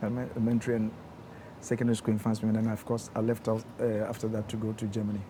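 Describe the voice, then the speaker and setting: Talking at a very fast pace with a Ghanaian accent, a man keeps a medium pitch and a monotone, flat intonation. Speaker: engineer. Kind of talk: interview. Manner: soft-spoken; gentle.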